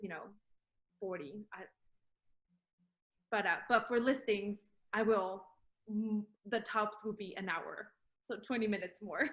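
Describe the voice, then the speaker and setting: A woman with a Spanish accent speaks at a fairly slow pace, leaving long, frequent pauses. Her pitch is fairly high with ordinary variation, and her loudness swings a lot. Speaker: real estate agent. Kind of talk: casual chat. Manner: halting, many fillers.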